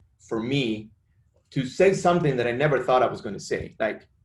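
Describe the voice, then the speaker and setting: The man's voice is somewhat breathy and medium in pitch. His pitch variation is ordinary. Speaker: gun violence prevention advocate, bereaved father. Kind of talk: press conference speech. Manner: halting.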